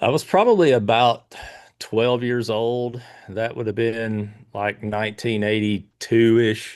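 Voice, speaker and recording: A man with a Kentucky accent, medium in pitch, fairly slow and fairly even in intonation, against a quiet background. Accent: Kentucky Southern US. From Kentucky, Pulaski County. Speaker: tennis tournament organizer. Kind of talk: interview.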